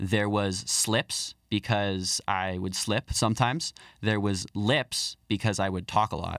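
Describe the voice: With a fairly bright tone and fairly low pitch, a man speaks slowly and with fairly even intonation on a very clean recording with a silent background.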